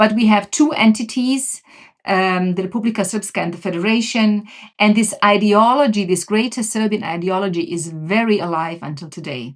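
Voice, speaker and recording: On a very clean recording with a silent background, a woman speaks with a Bosnian accent. Her medium pitch carries lively intonation at a moderate pace. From Bosnia and Herzegovina. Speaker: religious community representative. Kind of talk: podcast interview. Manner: halting, many fillers and restarts.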